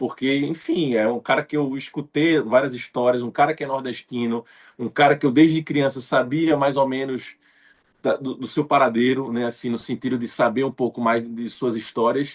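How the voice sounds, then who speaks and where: A man speaks in a Pernambuco accent at a medium pitch, his intonation fairly even. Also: moderate pace. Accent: Pernambuco northeastern Brazilian. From Recife, Pernambuco, Brazil. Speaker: actor. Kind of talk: interview. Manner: frequent fillers, conversational.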